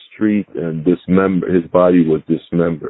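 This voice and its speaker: A man speaks with a very deep, low voice. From Panama. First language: Spanish. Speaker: retired FBI agent. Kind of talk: interview. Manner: halting, with fillers.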